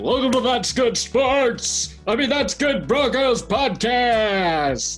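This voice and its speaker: Someone puts on a character voice in a fairly high pitch, speaking at a very slow pace with clear music in the background. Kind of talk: polished announcer delivery.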